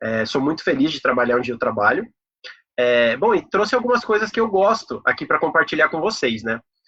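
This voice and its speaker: Using very wide pitch swings, a man speaks at a fairly high pitch. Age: 30s. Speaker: corporate professional giving a talk. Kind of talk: online talk presentation. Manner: casual, many filler words.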